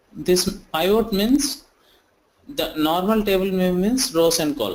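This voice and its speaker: Very slowly, a man talks in a high voice. His intonation is lively. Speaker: software trainer. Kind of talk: online tutorial. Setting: online session.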